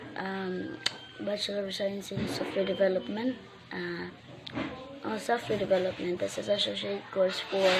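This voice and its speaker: Noticeable background noise runs under a woman who speaks with long, frequent pauses. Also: moderate pace. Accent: Filipino. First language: Waray / Filipino. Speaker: vlogger, recent graduate. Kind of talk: personal vlog message. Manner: halting, many self-corrections.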